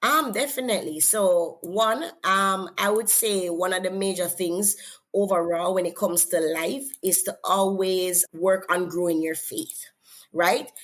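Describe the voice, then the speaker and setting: A woman with a Jamaican accent speaks at a fairly slow pace in a medium pitch with ordinary pitch variation. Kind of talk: interview. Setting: podcast.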